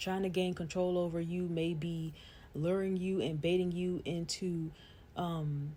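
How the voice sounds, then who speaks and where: Somewhat breathy and dark, mellow in tone, a woman speaks in a monotone, flat intonation on a very clean recording with a silent background. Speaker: vlogger. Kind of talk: casual monologue.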